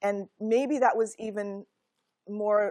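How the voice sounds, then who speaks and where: In a very clean recording with a silent background and a dry, close sound without echo, a woman with an American accent speaks very slowly at a medium pitch. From US (immigrated from Korea at six). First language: Korean. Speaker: law professor. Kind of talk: lecture.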